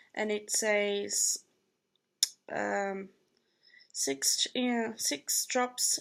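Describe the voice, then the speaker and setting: A woman's fairly high voice with a Brazilian Portuguese accent. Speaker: vlogger. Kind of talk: casual vlog product review. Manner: hesitant with fillers.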